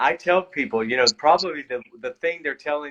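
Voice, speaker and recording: His accent is American. The man's voice falls at a medium pitch. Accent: Southern, grows stronger as he talks. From US South, Georgia. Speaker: actor. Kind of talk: casual interview chat. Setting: live-streamed online interview.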